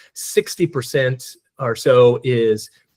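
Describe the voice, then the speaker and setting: Somewhat breathy, a man at a medium pitch is heard in a dry, close sound with no echo. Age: 60s. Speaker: DEI consultant and speaker. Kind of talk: presentation Q&A. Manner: halting, many repeated words.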